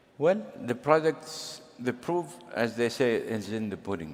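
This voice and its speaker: A man speaks with a non-native accent. His pitch swings very widely. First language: not English. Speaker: government official panelist. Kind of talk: panel discussion. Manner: halting.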